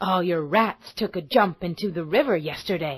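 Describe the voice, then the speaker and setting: A woman does a growling, put-on character voice. The recording is very clean with a silent background. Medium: read story. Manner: proud, commanding.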